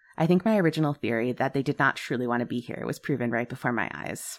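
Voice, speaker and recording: A woman with a very deep, low pitch races at a very fast pace in a dramatic, animated tone with lively intonation, on a very clean recording with a silent background. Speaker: podcast host and storyteller. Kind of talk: true-crime horror narration, first-person as a newspaper reporter. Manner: dramatic, suspenseful storytelling pace; animated, expressive, laughs often.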